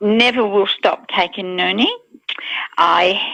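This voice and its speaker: A woman speaks at a fairly slow pace with a medium pitch. She has a plain, everyday voice. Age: 60s. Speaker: product testimonial giver. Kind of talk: testimony. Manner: casual, with fillers.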